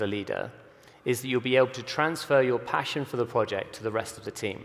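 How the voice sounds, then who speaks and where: A fairly quick pace from a man with a medium pitch and ordinary pitch variation. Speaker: creative director at a visual effects studio. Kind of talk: conference talk. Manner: fast.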